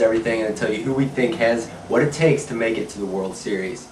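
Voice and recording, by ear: Talking at a fairly quick pace, a man has a fairly low, nasal voice with a slightly mellow tone, fairly even intonation and audible room echo.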